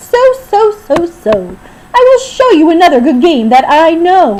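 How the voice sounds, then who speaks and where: A woman puts on a squeaky character voice, extremely high in pitch with very wide pitch swings, at a moderate pace. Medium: read story. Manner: boastful, playful.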